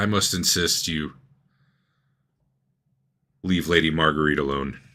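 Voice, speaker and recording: A man's put-on character voice, gravelly and very deep, at a moderate pace with fairly even intonation, on a very clean recording with a silent background. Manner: formal, insistent.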